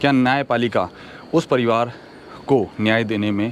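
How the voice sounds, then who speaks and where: A man with fairly even intonation talks at medium pitch as noticeable background noise carries on. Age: 40s. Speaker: social commentary video host. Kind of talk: opinion monologue to camera. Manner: earnest, with hesitations.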